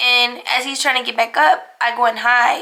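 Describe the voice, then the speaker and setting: The voice is raised and projected, with an American accent. Its intonation is fairly even. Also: woman. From Cincinnati, Ohio, US Midwest. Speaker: lifestyle vlogger. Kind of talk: casual Q&A chat to camera. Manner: casual, filler-heavy with many likes and ums.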